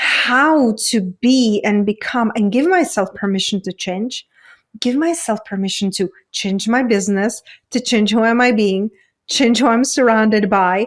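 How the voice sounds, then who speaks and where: With a Czech accent, a woman speaks at a fairly slow pace and fairly high pitch with ordinary pitch variation, in a very clean recording with a silent background. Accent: foreign accent (Czech). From Czech Republic. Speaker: women's coach. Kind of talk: interview conversation.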